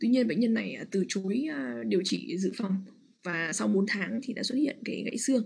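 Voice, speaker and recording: A woman with vocal fry speaks at a medium pitch, her voice swinging very widely up and down. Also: moderate pace. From Vietnam. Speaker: radiologist. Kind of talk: lecture. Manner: halting with frequent fillers.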